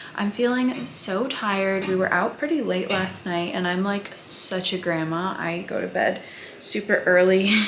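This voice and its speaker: A woman speaks fairly slowly at a medium pitch with ordinary pitch variation. Noticeable background noise and audible room echo surround her. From Syrian family background. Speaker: vlogger and dancer-choreographer. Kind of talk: casual vlog talk. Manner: soft-spoken, quiet.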